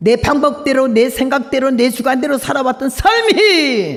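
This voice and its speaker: A woman with a high voice talks fairly slowly. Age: 80s+. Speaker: missionary preacher. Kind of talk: revival sermon. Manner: emotional, storytelling.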